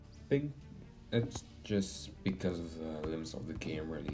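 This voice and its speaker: Music plays in the background. Over it, a man speaks with a very deep, low pitch. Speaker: game video commentator. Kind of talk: casual gameplay commentary.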